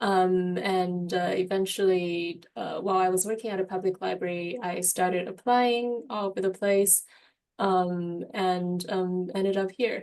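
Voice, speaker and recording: With a Mandarin accent, a woman of medium pitch speaks fairly slowly, keeping her intonation fairly even. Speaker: medical librarian. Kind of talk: panel discussion. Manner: halting, many fillers.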